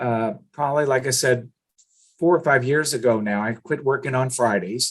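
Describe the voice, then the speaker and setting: At a moderate pace, a man talks in a normal speaking voice with medium pitch and fairly even intonation. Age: 60s. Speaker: business owner and cold calling trainer. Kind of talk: podcast interview.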